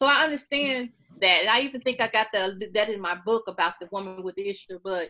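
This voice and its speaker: An animated woman with an American accent, medium-pitched, at a fairly quick pace with ordinary pitch variation. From Missouri, US (Sikeston). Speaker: author and beauty YouTuber. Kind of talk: interview. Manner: loud.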